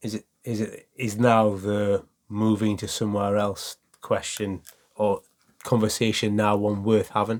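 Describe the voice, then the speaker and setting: A man with a Geordie accent speaks at a fairly slow pace in a fairly low pitch, his intonation flat and monotone. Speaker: football podcast co-host. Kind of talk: casual chat.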